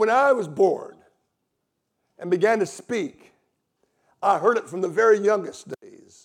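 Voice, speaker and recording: A man with a Southern US accent and high pitch, at a fairly slow pace with long, frequent pauses, big swings in loudness and ordinary pitch variation. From US South. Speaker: visiting preacher and Bible teacher. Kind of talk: sermon. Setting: church stage with congregation.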